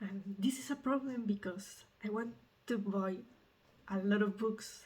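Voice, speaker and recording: Somewhat breathy, a woman speaks at a medium pitch with a Mexican accent. Her pace is fairly slow. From Mexico. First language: Spanish. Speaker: medical student vlogger. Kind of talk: casual vlog. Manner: halting, with fillers.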